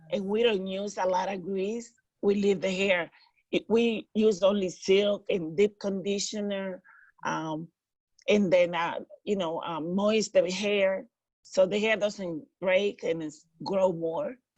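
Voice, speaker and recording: A woman with a Dominican accent speaks at a very slow pace, her pitch varying in an ordinary way. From Dominican Republic. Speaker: hairstylist. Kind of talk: interview.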